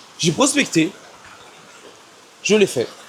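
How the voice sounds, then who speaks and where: The man's words come at a fairly slow pace. Noticeable background noise is audible throughout. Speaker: vlogger doing daily push-up challenge. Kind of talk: personal video diary monologue. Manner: halting, self-correcting.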